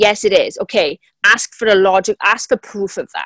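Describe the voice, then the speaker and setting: Here a woman speaks at a medium pitch in a Welsh accent. The sound is dry and close, with no echo. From South Wales. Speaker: business coach. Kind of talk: interview.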